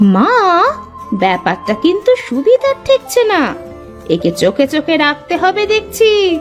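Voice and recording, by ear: Over clear background music, a woman in a cartoonish character voice speaks at a fairly slow pace with extremely high pitch, very wide pitch swings, and very even loudness.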